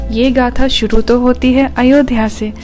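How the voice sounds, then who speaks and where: A woman talks over background music. Her intonation stays monotone and flat. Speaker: storyteller. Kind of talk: mythology storytelling podcast. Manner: reverent.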